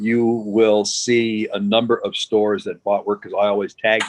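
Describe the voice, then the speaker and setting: This man has an American accent. The sound is dry and close, with no echo. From United States. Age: 60s. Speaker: glass artist. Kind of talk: interview.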